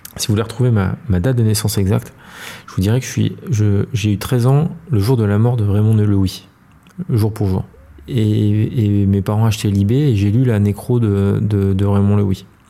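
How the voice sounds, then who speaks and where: Noticeable background noise sits behind a man with fairly low pitch. His loudness stays very even and his intonation fairly even. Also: moderate pace. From Paris. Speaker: entrepreneur. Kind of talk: interview conversation. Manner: hesitant, with frequent repetitions.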